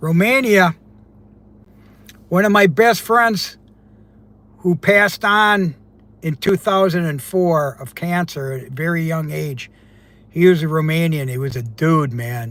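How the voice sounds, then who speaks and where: A man speaks at a high pitch with lively intonation and big swings in loudness. He goes at a fairly slow pace, with long, frequent pauses. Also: very clean recording, silent background. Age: 70s. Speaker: divorce strategist and mentor. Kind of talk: live stream chat with viewers. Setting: in a car. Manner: casual, conversational.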